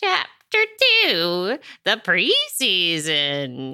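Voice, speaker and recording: A put-on character voice at a middle pitch. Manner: narrating audiobook chapters in character.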